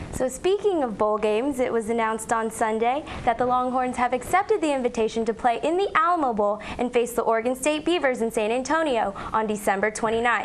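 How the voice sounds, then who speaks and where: Over noticeable background noise, a woman with a high pitch talks at a fairly quick pace, with lively intonation and hardly any pauses. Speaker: student broadcast journalist. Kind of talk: TV news report.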